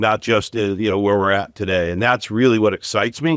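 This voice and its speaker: In a dry, close sound with no echo and a silent background on a very clean recording, a man with an ordinary speaking voice talks at a fairly quick pace with ordinary pitch variation. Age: 60s. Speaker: retail executive. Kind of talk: podcast interview.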